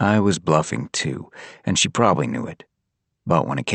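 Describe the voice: Against a quiet background, plain reading aloud moves with ordinary pitch variation.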